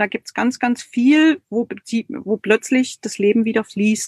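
Her delivery is very slow, with fairly even intonation. The woman's voice has a dry, close sound with no echo. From East Germany. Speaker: creative and body therapist. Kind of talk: online live interview.

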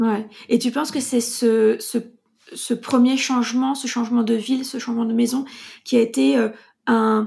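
Her high-pitched voice has a dark, mellow tone and fairly even intonation as she talks fairly slowly with long, frequent pauses. The woman's recording is very clean, with a silent background. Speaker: podcast host and coach. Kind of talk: casual interview; scripted intro.

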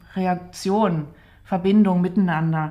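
The voice is somewhat breathy with a dark, mellow tone, moving at a fairly slow pace. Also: woman. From Saxony, Dresden (East Germany). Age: 40s. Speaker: doll maker and podcast co-host. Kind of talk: casual conversation. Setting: home studio in an apartment.

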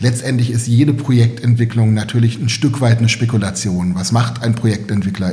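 A man speaks at a medium pitch and a moderate pace with fairly even intonation. There is audible room echo and noticeable background noise. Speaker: real estate developer. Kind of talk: interview. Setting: in-person recording in Berlin. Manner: halting, many fillers and repetitions.

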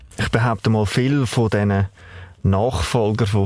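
Fairly low-pitched male speech with noticeable background noise behind it. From Baden, Aargau, Switzerland. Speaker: family business owner. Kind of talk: interview.

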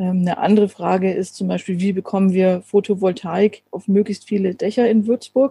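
A woman speaks at a fairly slow pace in a dark, mellow, somewhat breathy tone. The sound is dry and close, with no echo. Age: 40s. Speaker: city councillor and chemist. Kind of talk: casual interview. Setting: video call.

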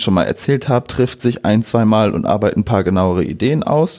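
This man's tone is dark and mellow, with ordinary pitch variation. The recording is very clean, with a silent background. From northern Germany, Friesland (Bockhorn). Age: 20s. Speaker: electronics apprentice, volunteer. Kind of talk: casual interview.

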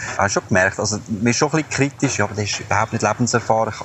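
Noticeable background noise runs under a man talking at a very fast pace. His medium-pitched voice keeps a fairly even intonation. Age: 20s. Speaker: funeral advisor. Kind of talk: personal audio diary.

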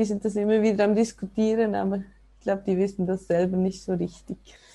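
A woman's dark, mellow voice at a medium pitch and moderate pace, with monotone, flat intonation, against a quiet background. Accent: Swiss. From Switzerland, ski resort region. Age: 30s. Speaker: snowboarder and mother. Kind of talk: casual interview.

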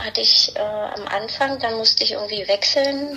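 Over noticeable background noise, a woman speaks with a fairly high pitch and fairly even intonation. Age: middle-aged. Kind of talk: casual chat.

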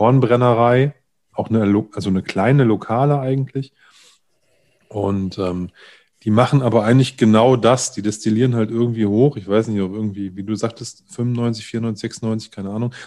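A man with a dark, mellow tone and fairly low pitch speaks at a moderate pace with fairly even intonation, over a quiet background. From Lower Saxony, northern Germany. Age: 40s. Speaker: podcast host. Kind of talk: casual chat. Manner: halting.

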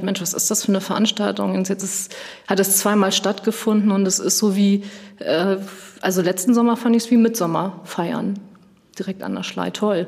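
A woman talks at a fairly quick pace in a flat, monotone way. Noticeable background noise sits behind her. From Schleswig-Holstein, Kiel. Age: 40s. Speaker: tourism marketing manager. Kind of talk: interview. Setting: on location.

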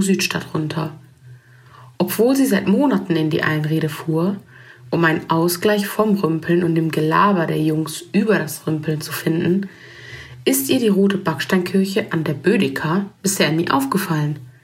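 A woman with fairly low pitch and ordinary pitch variation speaks at a fairly slow pace. Audible room echo is present. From Germany. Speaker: writer and photographer. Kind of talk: reading aloud.

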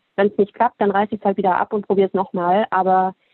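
The pace is very fast. A woman speaks at a medium pitch. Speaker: fashion entrepreneur. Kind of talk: casual interview.

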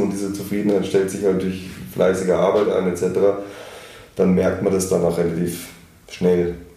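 A man speaking at a moderate pace, with audible room echo and noticeable background noise. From outside Austria, German-speaking. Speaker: music magazine editor-in-chief, festival marketer. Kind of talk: interview.

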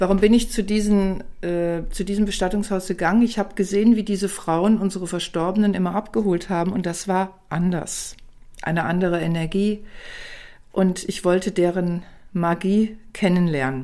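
Her tone is dark and mellow, at a medium pitch for a woman. She keeps a moderate pace and fairly even intonation. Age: 60s. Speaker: author and palliative care nurse. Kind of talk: interview.

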